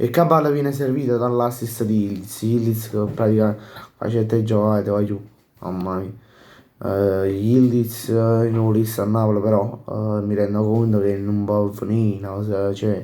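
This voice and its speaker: The voice has a dark, mellow tone and fairly even intonation at a moderate pace. Room echo is audible. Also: man, fairly low pitch for a man. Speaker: football YouTuber. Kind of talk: casual post-match commentary. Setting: home at night, others sleeping. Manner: speaking quietly, softer than usual; halting, many fillers.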